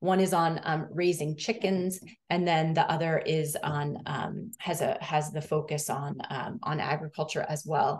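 In an ordinary speaking voice, a woman talks at a fairly slow pace with hardly any pauses, her pitch fairly low with ordinary variation against a quiet background. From US Northeast (Massachusetts). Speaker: education researcher. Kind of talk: academic presentation. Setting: video call. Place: home room. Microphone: video call.

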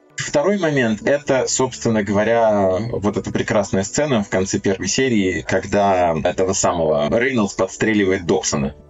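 A man with a fairly low pitch speaks with lively intonation as music plays in the background. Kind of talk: casual chat. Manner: animated.

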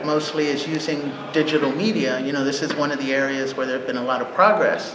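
A man with an American accent and a fairly high pitch at a moderate pace, with noticeable background noise. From Texas. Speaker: environmental activist; panelist. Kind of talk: panel discussion. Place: meeting room.

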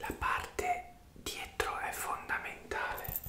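Whispering softly and very slowly, a man speaks amid light background noise and audible room echo. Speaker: hair massage roleplay host. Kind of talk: soft roleplay chat, ASMR-like. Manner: soft, close ASMR whisper. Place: home room. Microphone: earbuds.

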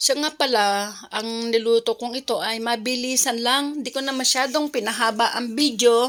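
A high-pitched woman's voice, flat and monotone, at a moderate pace on a very clean recording with a silent background. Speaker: cooking vlogger. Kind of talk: cooking tutorial.

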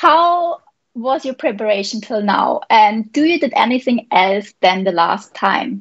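In a quiet background, a woman speaks very slowly with a fairly high pitch and lively intonation. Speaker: paragliding pilot and interviewer. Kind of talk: live interview. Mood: cheerful, smiling. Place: home room. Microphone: video call.

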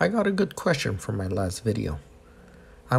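A man with a non-native accent speaks in a somewhat breathy voice. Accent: heavy non-native. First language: not English. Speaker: boat equipment installer. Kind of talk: instructional tutorial narration.

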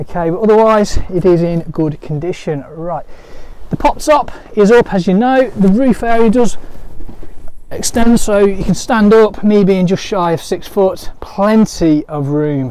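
This man's voice sits high in pitch, with a slightly mellow tone and ordinary pitch variation. He speaks at a fairly slow pace.

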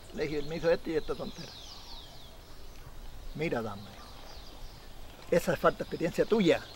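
In a Chilean accent, a man talks very fast with lively intonation, the sound dry with no echo and light background noise. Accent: rural Chilean Spanish. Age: 70s. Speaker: Chilean horse trainer and rodeo rider. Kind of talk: documentary interview, storytelling. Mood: animated, gesturing storyteller. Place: open country.

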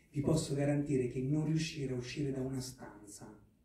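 A man talks with fairly even intonation. Audible room echo and light background noise are present. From Marche, Italy. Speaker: actor and film producer; actor. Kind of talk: press conference. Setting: press conference hall with microphone. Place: hall.

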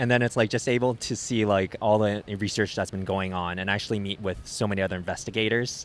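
This man's voice is fairly low in pitch. He talks fast with fairly even intonation.

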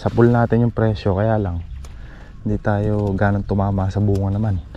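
A man's fairly low voice, an ordinary speaking voice, at a fairly quick pace with fairly even intonation, dry sound with no echo and light background noise. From Philippines. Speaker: farm vlogger. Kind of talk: casual vlog narration. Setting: outdoors on a farm. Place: farm. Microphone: phone near.

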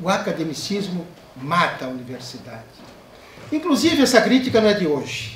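Against light background noise and audible room echo, a man talks with a high pitch. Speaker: professor giving a lecture. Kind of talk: academic lecture. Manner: formal, eloquent. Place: hall.

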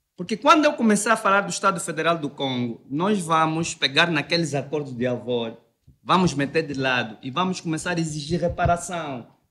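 A man's bright, sharp, high-pitched voice with lively intonation at a moderate pace. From Angola. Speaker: debate panelist; panelist. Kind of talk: debate. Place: studio. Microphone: studio mic.

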